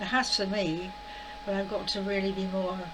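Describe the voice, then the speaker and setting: A woman speaks at a medium pitch with ordinary pitch variation. Audible room echo and noticeable background noise surround her voice. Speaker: spiritual vlogger. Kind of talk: casual monologue. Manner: fast; halting.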